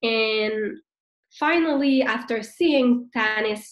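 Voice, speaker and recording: This woman has a fairly high pitch, ordinary pitch variation and a French Canadian accent. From Quebec, Montreal. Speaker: network marketing leader, former nurse. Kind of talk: business training talk. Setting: video call.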